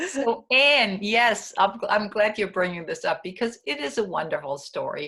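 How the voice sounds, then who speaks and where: A woman with a non-native accent speaks at a moderate pace and medium pitch, on a very clean recording with a silent background. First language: not English. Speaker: spiritual retreat leader and author. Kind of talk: conversational interview.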